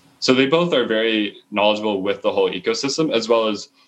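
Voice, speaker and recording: A man with a Canadian accent and an ordinary speaking voice, fairly low in pitch, with ordinary pitch variation at a moderate pace. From Canada, moved often as a child. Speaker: startup co-founder and CTO. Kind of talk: interview. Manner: casual, with fillers and repetitions.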